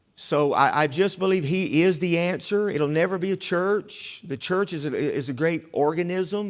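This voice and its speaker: On a very clean recording with a silent background, the speaker talks with a Southern US accent. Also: man. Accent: US South. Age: 60s. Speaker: revival preacher. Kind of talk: sermon. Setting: church. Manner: halting.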